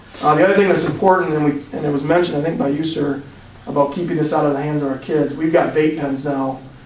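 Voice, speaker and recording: Speaking very fast, a man uses a fairly high pitch and fairly even intonation. The room echoes audibly and background noise is noticeable. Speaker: police drug expert giving presentation. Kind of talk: presentation to city council. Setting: council meeting.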